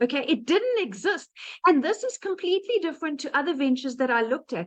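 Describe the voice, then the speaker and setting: A high-pitched woman with a South African accent, very fast pace and very wide pitch swings. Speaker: digital marketing entrepreneur. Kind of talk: testimony.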